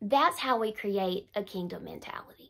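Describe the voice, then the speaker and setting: The setting behind the voice is quiet. The speaker is a woman. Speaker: faith teacher. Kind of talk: casual vlog chat. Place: home room. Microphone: phone near.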